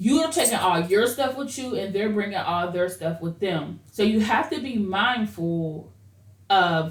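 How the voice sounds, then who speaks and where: Her intonation is lively as a woman speaks amid audible room echo. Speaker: vlogger giving relationship advice. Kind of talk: casual monologue. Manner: loud; fast when excited.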